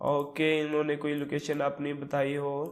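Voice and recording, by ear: A man speaks at a fairly slow pace in a fairly high pitch, his intonation monotone and flat.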